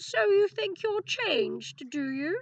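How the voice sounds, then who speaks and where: In a put-on character voice, the speaker moves at a fairly slow pace with very wide pitch swings. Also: woman. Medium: read story. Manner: curt, stern.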